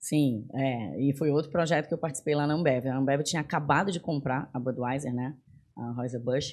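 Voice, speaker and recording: A woman speaks with very deep, low pitch and fairly even intonation. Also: moderate pace. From Belém, Pará, northern Brazil. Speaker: tech executive. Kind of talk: casual interview. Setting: studio.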